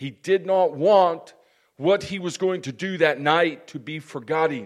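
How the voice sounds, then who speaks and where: A man talks at a fairly slow pace with a fairly high pitch and ordinary pitch variation. He has an ordinary speaking voice. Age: 60s. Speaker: pastor. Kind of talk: sermon. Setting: church.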